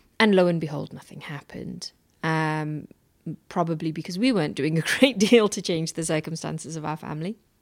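Recorded very cleanly against a silent background, a woman with a British accent speaks at a fairly quick pace in a very deep, low pitch, her loudness swinging widely while her pitch varies in an ordinary way. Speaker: entrepreneur. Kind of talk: reflective interview.

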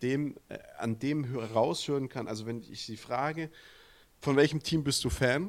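A man with ordinary pitch variation. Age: 30s. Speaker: american football podcast co-host. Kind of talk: casual chat.

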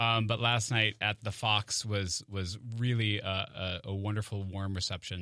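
A man speaks at a fairly low pitch with a bright, sharp tone. The background is quiet. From Maine, US. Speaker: stage actor. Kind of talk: radio interview. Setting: studio.

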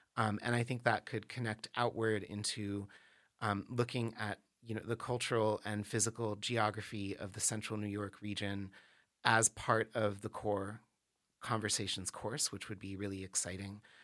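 On a very clean recording with a silent background, an American-accented man speaks at a moderate pace in a fairly low, flat monotone. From Washington, D.C. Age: 40s. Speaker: theater professor. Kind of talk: interview. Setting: studio. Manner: hesitant, many fillers.

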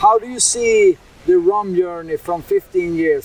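A man talks at a fairly slow pace with a Swedish accent. Background noise is noticeable. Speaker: podcast host. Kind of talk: interview; scripted intro. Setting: trade fair in Berlin.

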